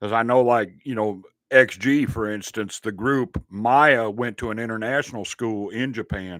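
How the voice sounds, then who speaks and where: A man with a Southern US accent speaks at a moderate pace in a medium pitch, his intonation fairly even. The recording is very clean, with a silent background. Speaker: sports and reaction channel host. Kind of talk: casual chat. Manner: relaxed, filler-heavy.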